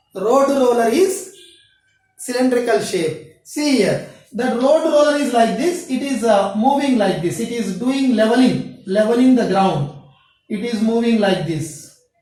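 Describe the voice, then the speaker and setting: Audible room echo surrounds a woman speaking at a fairly slow pace. Her pitch swings very widely. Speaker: school math teacher. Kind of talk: lecture. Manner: halting.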